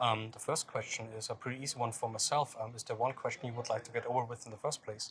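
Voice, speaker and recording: Delivered in a German accent at a very fast pace with hardly any pauses, the speech has monotone, flat intonation against noticeable background noise. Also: man, medium pitch for a man. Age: 30s. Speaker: music interviewer. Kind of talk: interview. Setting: music festival. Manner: halting.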